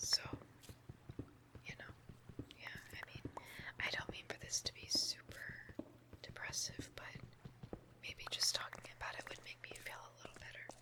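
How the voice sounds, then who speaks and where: Whispering at a moderate pace with long, frequent pauses, a woman's loudness swings widely over noticeable background noise. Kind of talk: ASMR whispered rambling and venting over Minecraft gameplay. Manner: whispered, soft, rambling.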